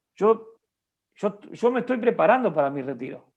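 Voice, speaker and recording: A man delivers his words at a moderate pace, his intonation lively. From Uruguay. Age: 50s. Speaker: bishop and pastor. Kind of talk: interview.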